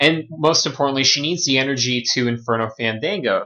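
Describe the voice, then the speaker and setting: This man uses a normal speaking voice, keeping a medium pitch, ordinary pitch variation and a moderate pace. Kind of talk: game commentary audition.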